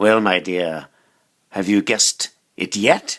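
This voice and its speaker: In a very clean recording with a silent background, a man does a put-on character voice, fairly low in pitch and fairly slow. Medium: read story. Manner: menacing, gloating.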